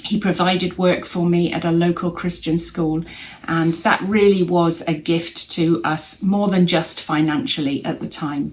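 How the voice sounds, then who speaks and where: A woman with an English accent speaks at a fairly slow pace. Her pitch is fairly low and her intonation fairly even. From England. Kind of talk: testimony.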